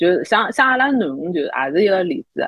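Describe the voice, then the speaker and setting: The woman's voice makes very wide pitch swings. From Shanghai. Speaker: podcast co-host. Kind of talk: casual chat.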